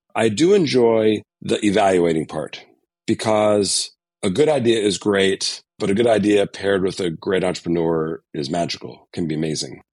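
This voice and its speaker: With an American accent, a man speaks in an ordinary speaking voice at a fairly low pitch. His pace is moderate and his intonation lively. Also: quiet background. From Connecticut, US. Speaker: venture capital investor. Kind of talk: interview.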